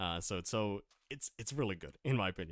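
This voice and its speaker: The intonation is lively and the pace fairly quick. The sound is dry and close, with no echo. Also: man, very clean recording, silent background. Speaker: Minecraft streamer. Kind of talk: live stream commentary. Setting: live stream. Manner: halting, many fillers and repeats.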